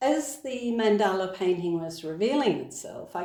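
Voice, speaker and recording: A woman with a dark, mellow tone speaks using lively intonation. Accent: Australian. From Australia. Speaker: author and podcaster. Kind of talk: reading from own book.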